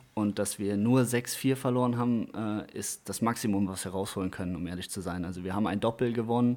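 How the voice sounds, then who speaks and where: A man with a dark, mellow tone talks at a fairly quick pace in a fairly low pitch, with fairly even intonation and hardly any pauses. The recording is very clean with a silent background. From Westerwald, Germany. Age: 20s. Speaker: table tennis livestream commentator. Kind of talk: casual interview.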